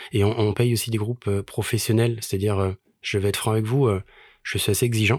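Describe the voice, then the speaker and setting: Fairly low-pitched, a man speaks at a fairly quick pace in a monotone, flat intonation with very even loudness, on a very clean recording with a silent background and a dry, close sound with no echo. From Paris. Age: 40s. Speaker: charity association president and musician. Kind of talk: casual interview chat.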